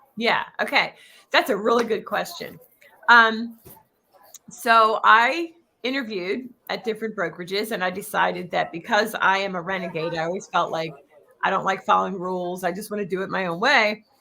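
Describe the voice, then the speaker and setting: In a Philadelphia accent, a woman speaks at a medium pitch and a moderate pace with ordinary pitch variation. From Philadelphia area, US. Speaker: real estate coach. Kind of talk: interview.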